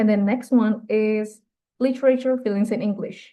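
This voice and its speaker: A woman with a slight British accent has a fairly high pitch and a dark, mellow tone. Her pace is moderate and her intonation fairly even. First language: Indonesian. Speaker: university student. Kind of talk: class presentation. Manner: halting.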